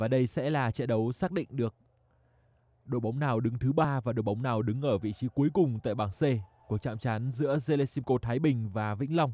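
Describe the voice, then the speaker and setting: A man talks at a very fast pace in a medium pitch with ordinary pitch variation. His tone is dark and mellow, and the sound is dry and close with no echo. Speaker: volleyball commentator. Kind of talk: live sports commentary on a volleyball match. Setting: indoor sports hall. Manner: matter-of-fact, brisk play-by-play, calling each point and score in an even tone.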